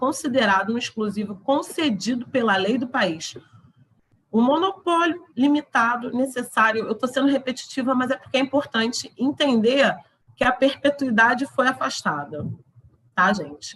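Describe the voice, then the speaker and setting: Her voice high and her intonation lively, a woman speaks at a moderate pace. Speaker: law lecturer. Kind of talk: lecture.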